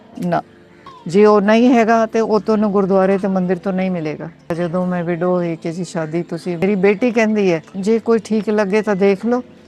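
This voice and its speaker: A woman speaks at medium pitch with fairly even intonation. Noticeable background noise can be heard. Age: 70s. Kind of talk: interview answer.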